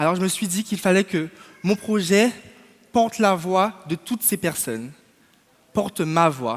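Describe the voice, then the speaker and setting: This man speaks at a fairly slow pace in a high pitch, with lively intonation. Long, frequent pauses break up his speech. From Martinique. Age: 20s. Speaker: podcast founder and student. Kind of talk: prepared speech. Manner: formal.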